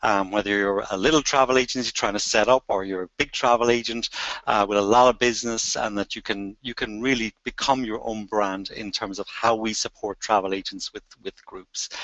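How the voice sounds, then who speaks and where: A man with an Irish accent, fairly low in pitch, with fairly even intonation. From Ireland. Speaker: travel company group sales head. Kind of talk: interview.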